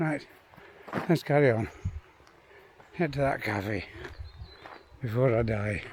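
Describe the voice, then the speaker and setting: In a Yorkshire accent, a man speaks at a fairly slow pace and medium pitch with ordinary pitch variation and long, frequent pauses. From Yorkshire, England. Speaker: retired pensioner vlogger. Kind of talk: casual talk to camera. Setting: outdoors.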